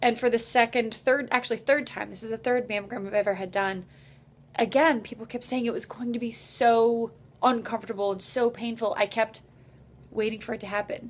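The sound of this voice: At a fairly quick pace, a woman talks in a fairly high pitch with fairly even intonation.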